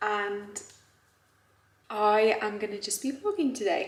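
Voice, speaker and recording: There is audible room echo around the voice. A woman speaks at medium pitch. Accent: British. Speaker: fitness vlogger. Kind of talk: casual vlog narration. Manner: soft-spoken.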